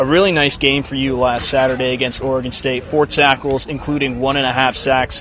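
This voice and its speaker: A man speaks at a fairly quick pace with hardly any pauses, his medium-pitched voice flat and monotone over noticeable background noise. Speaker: sports broadcaster (student). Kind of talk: pregame interview host.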